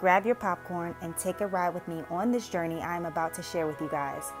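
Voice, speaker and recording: A woman with an American accent speaks over music in the background. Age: 20s. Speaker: single mother and caregiver. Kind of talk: vlog voice-over narration.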